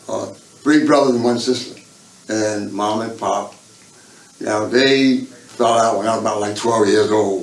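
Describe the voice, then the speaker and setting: Pausing long and often, a man speaks at a fairly slow pace and medium pitch, his intonation fairly even, with audible room echo. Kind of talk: life-story interview. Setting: state prison. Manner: halting, repeats words.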